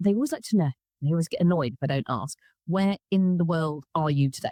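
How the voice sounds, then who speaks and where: Talking very fast at a fairly low pitch, a woman has a dark, mellow tone in a dry, close sound with no echo. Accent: southern English. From southern England. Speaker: podcast host. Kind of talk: casual interview chat. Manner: animated.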